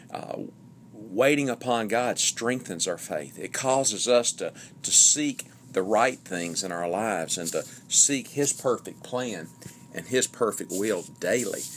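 At a fairly slow pace, a man talks with a medium pitch and ordinary pitch variation. Noticeable background noise is present. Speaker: preacher. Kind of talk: sermon-style teaching on prayer.

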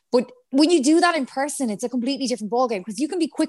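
Speaking at a very fast pace with lively intonation, a woman with a high pitch talks in a western Irish accent. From Ireland, Galway. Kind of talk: casual chat.

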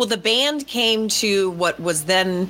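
A woman talks in an ordinary speaking voice at medium pitch, with ordinary pitch variation. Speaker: podcast host. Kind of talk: casual chat. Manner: playful, teasing.

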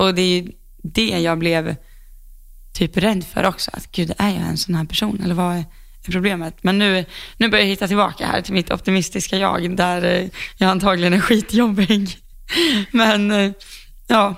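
There are long, frequent pauses as a woman at a medium pitch speaks with fairly even intonation. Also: moderate pace. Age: 20s. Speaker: podcast co-host, horse rider. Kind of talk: casual chat.

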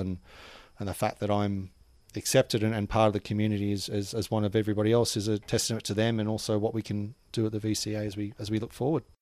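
A man with a fairly low pitch talks quickly in an Australian accent, his intonation monotone and flat. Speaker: cricket administrator. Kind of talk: casual chat. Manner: fast.

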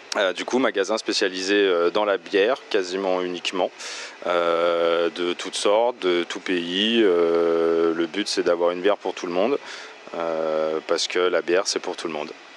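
Noticeable background noise is present. The intonation stays fairly even. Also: man, very deep, low pitch for a man. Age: 30s. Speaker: beer shop owner. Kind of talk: interview. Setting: in his shop. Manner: hesitant with fillers.

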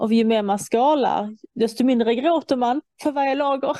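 A woman's normal speaking voice at a fairly slow pace, with ordinary pitch variation. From Iran. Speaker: guest in conversation. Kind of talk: casual chat.

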